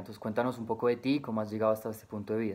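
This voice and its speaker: A man's voice with monotone, flat intonation. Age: 20s. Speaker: job applicant. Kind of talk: recorded job interview answers. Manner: hesitant, frequent filler 'eh'. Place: home room. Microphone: webcam.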